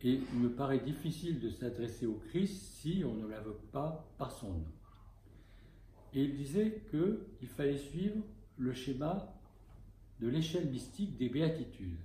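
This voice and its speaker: A man with a fairly high pitch, a dark, mellow tone and vocal fry speaks at a very slow pace with long, frequent pauses. His pitch swings very widely, and audible room echo surrounds him. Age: 70s. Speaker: Orthodox bishop and spiritual teacher. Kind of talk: spiritual talk. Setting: talk to a small group.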